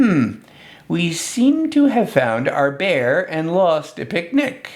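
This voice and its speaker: Using a put-on character voice, a man speaks very slowly with a high pitch. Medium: read story. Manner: glum, dramatic.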